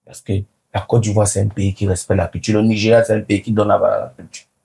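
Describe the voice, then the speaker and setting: A man talks very fast in a fairly low, somewhat breathy voice. His tone is dark and mellow. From Cameroon. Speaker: comedian. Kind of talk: interview. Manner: animated.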